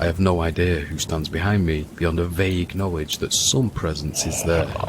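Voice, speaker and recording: With a northern English accent, a man speaks at a moderate pace in a very deep, low voice. His intonation is fairly even, and background noise is noticeable. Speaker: podcast host. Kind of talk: storytelling narration. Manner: dramatic.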